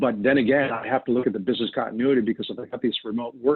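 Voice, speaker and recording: A man with an American accent talks at a very fast pace. His pitch sits in the middle, and his intonation is fairly even. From New York. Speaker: data protection specialist. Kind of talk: webinar presentation. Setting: online webinar.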